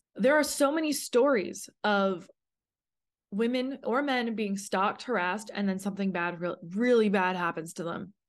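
An ordinary speaking voice from a woman with a Canadian accent, medium in pitch, moderately paced and lively in intonation, over a quiet background. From Canada. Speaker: podcast host. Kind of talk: personal testimony monologue.

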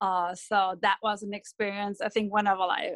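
A woman with a German accent at a moderate pace, medium in pitch and flat and monotone in intonation, over a quiet background. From Germany, Dortmund. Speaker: football fan club organizer. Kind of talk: interview. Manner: hesitant, many fillers.

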